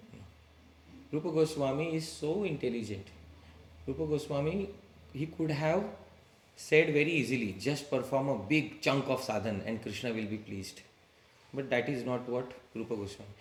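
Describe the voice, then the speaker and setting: A man's somewhat breathy voice at medium pitch and moderate pace, with lively intonation, long, frequent pauses and audible room echo. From India, Maharashtra. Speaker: spiritual teacher. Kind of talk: religious lecture to a live group. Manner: conversational, engaging audience with questions.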